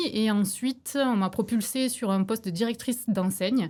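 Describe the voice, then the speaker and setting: A woman talks with a slight southern French accent and ordinary pitch variation. The recording is very clean, with a silent background. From southern France (Béziers). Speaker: businesswoman, former corporate manager. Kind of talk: podcast interview.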